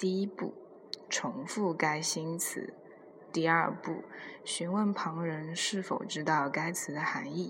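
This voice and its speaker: A woman speaks very slowly at a fairly low pitch with fairly even intonation. The recording has audible room echo and noticeable background noise. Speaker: podcast host. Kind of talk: casual monologue.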